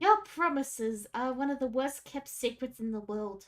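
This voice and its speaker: In a put-on character voice, a female-sounding speaker talks at a moderate pace and high pitch over faint music in the background. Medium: actual play. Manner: playful, impish.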